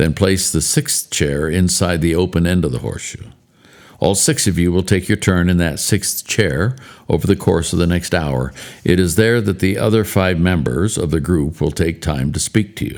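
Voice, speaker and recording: Recorded very cleanly against a silent background, a man speaks in a very deep, low voice with vocal fry. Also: ordinary pitch variation, moderate pace. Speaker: podcast host and author. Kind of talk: reading aloud from his own book. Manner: storytelling.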